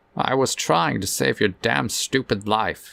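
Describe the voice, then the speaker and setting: In a gruff, put-on character voice, a man speaks at a fairly slow pace with a fairly low pitch and very wide pitch swings. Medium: read story. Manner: gruff, weary.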